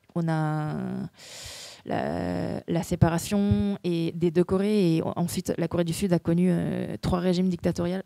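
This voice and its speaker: Fairly slow, fairly even speech, dry and close with no echo, over noticeable background noise. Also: woman, fairly low pitch for a woman. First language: Korean (speaking French). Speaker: actress. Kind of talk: festival Q&A. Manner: halting, many repetitions and hesitations.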